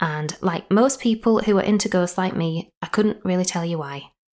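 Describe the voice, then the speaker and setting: A woman with a Yorkshire accent speaks at a moderate pace and medium pitch, using ordinary pitch variation. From Yorkshire, northern England. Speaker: podcast host and storyteller. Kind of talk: scripted ghost story narration. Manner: playful.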